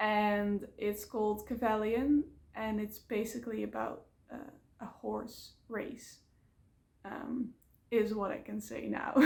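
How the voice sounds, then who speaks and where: A woman speaks in a Dutch accent at a very slow pace. Long, frequent pauses fill her speech. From Netherlands. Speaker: vlogger. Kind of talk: casual vlog talk to camera. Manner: hesitant, many fillers.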